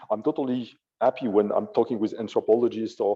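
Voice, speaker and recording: A man with a French accent speaks at a very fast pace. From France. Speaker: AI ethicist. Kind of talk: panel discussion.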